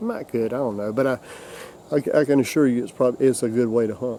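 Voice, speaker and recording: The speech comes in a South Carolina accent. Its pace is very fast. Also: man. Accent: Southern US (South Carolina). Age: 60s. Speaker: hunting video host. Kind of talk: casual instructional talk. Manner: halting, many repetitions.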